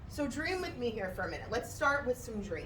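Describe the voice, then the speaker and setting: A loud woman speaks in an animated tone with very wide pitch swings, amid audible room echo and noticeable background noise. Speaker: motivational speaker. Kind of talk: motivational talk. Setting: stage with audience. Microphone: microphone problems.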